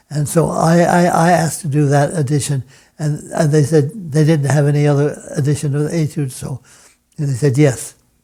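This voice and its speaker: This man has a fairly high pitch, a dark, mellow tone that is somewhat breathy, fairly even intonation, and a fairly quick pace. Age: 90s. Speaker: retired piano professor and pianist. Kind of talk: interview. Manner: halting, frequent repetitions.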